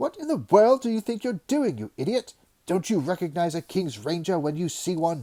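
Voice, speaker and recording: A man puts on a character voice, high for a man, at a moderate pace. His pitch swings very widely. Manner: angry, booming.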